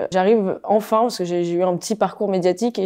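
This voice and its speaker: Against a quiet background, a woman talks with a dark, mellow tone and fairly even intonation. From Paris, France. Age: 20s. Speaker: TV reporter and presenter. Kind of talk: interview. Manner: halting, many fillers and repetitions.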